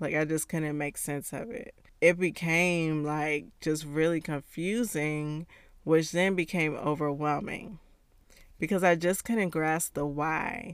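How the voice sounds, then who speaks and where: A very deep, low female voice at a very slow pace, with ordinary pitch variation, in a very clean recording against a silent background. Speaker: podcast host and encouragement coach. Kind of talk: solo podcast episode, encouraging talk.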